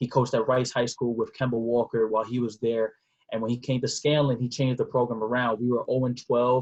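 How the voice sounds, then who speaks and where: Speaking very fast in a New York accent, a man of medium pitch keeps a flat, monotone delivery, a somewhat breathy sound and a very even loudness. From New York City (Bronx). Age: 20s. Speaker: nonprofit founder, former basketball player. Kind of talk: podcast interview.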